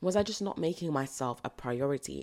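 With a British accent, a woman speaks at a very deep, low pitch. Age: 20s. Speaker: podcast host. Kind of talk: solo podcast monologue.

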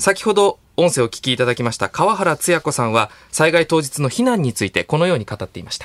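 A man rattles along at a very fast pace with hardly any pauses, his fairly high pitch swinging very widely, in a dry, close sound with no echo. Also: big swings in loudness. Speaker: radio announcer reporting on location. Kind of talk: news report. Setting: radio studio.

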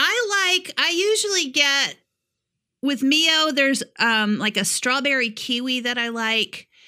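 In an American accent, a raised, projected voice speaks at a fairly slow pace with very even loudness. The tone is bright and sharp, and the pitch swings very widely. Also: woman, high pitch for a woman. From upstate New York. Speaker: podcast co-host. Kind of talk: casual chat. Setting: remote recording at home in Tennessee.

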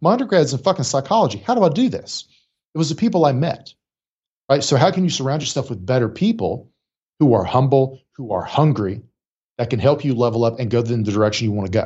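In an American accent, a man speaks somewhat breathy, his pitch swinging very widely. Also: medium pitch for a man. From rural Appalachia, West Virginia. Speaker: clinical psychologist and executive coach. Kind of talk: casual interview conversation. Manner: animated, profanity-heavy.

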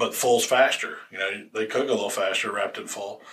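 Over noticeable background noise, a man talks fairly quickly with a Southern US accent. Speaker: barbecue podcast host. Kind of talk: casual chat. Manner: fast.

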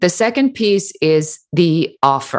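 A woman with a German accent speaks at a fairly low pitch with very wide pitch swings against a quiet background. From Germany. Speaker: business coach and entrepreneur. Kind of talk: interview.

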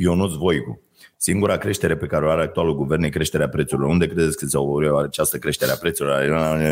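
Very deep and low, a man's voice rushes along at a very fast pace with vocal fry. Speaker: podcast co-host. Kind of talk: casual chat. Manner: animated.

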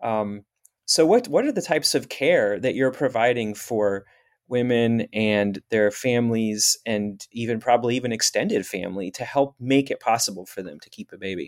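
On a very clean recording with a silent background, a man with an unremarkable speaking voice talks at medium pitch and a moderate pace, with big swings in loudness. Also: ordinary pitch variation. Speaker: podcast host. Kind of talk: interview conversation.

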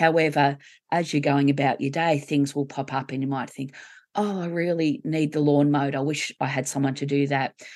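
Against a quiet background, a woman speaks at a moderate pace. Her pitch is very deep and low, with fairly even intonation. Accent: Australian. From Australia. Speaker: grief coach and co-author. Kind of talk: interview conversation.

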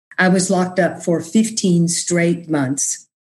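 A woman's fairly low, somewhat breathy voice with an American accent. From Texas (Austin, rural area). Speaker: podcast host, mental health peer advocate. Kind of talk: casual interview chat with personal testimony.

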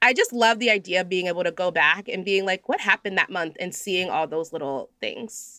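A woman at medium pitch with a bright, sharp tone, a fairly quick pace and ordinary pitch variation, in a dry, close sound with no echo and a very clean recording over a silent background. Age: 30s. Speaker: podcast guest, journaling enthusiast. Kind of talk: casual chat.

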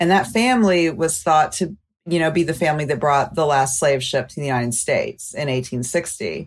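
A woman with an American accent speaks at a moderate pace in a very deep, low pitch. Her intonation is lively, her loudness swings a lot, and the recording is very clean with a silent background. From US South, Mobile, Alabama. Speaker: documentary filmmaker. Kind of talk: interview.

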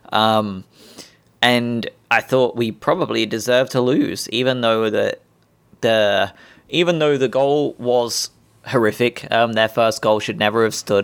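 On a very clean recording with a silent background, a man with an English accent speaks at a fairly slow pace, with medium pitch and ordinary pitch variation. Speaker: football fan podcaster. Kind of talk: casual monologue. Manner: hesitant, many ums.

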